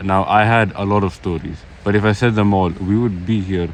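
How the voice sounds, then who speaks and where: A man's very deep, low pitch with ordinary pitch variation, against noticeable background noise. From Switzerland. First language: Swiss German. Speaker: vlogger. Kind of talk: personal vlog testimony. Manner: halting.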